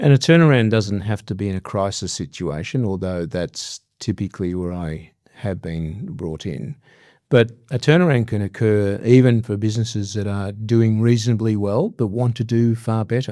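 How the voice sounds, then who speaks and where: With an Australian accent, the speaker has a dark, mellow tone, a moderate pace and ordinary pitch variation on a very clean recording with a silent background. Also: man, fairly low pitch for a man. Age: 60s. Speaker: business leader and executive coach. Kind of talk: interview. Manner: hesitant, many fillers.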